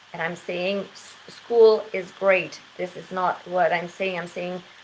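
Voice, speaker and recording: Over noticeable background noise, a woman speaks very slowly at a medium pitch with monotone, flat intonation and big swings in loudness. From Quebec. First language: French. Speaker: English teacher. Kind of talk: casual monologue. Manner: hesitant with many fillers.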